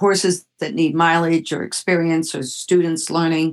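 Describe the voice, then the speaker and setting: A woman with a fairly low pitch talks at a fairly slow pace in a normal speaking voice. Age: 60s. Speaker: horse trainer and event organizer. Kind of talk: interview.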